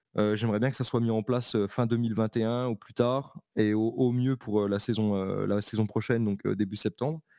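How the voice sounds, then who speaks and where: A man's medium-pitched voice with a dark, mellow tone, fairly even intonation and moderate pace, in a dry, close, very clean recording with a silent background and no echo. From eastern France, Belfort. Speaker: American football coach. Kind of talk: casual interview.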